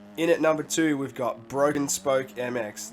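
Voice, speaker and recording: Over background music, a man talks at a medium pitch, his pitch varying in an ordinary way. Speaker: gaming video creator. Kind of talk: casual gaming commentary.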